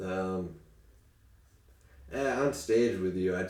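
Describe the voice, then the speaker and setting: A man with a very deep, low pitch talks with ordinary pitch variation, and the room echo is audible. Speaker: comedian. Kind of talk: casual chat.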